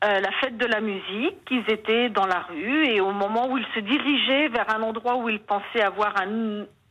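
A woman's fairly high voice with ordinary pitch variation, very even loudness, a moderate pace and hardly any pauses, over noticeable background noise. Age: 60s. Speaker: caller, mother of injured son. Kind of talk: testimony.

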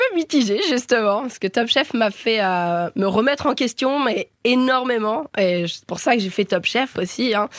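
A woman's high, animated voice with lively intonation, fairly slow yet with hardly any pauses, against a quiet background. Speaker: cooking competition contestant. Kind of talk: interview. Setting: studio.

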